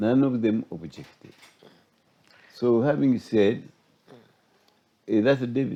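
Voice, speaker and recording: A man with a dark, mellow tone speaks very slowly, taking long, frequent pauses. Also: medium pitch for a man, ordinary pitch variation. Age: 80s+. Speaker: retired judge and law professor. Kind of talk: interview.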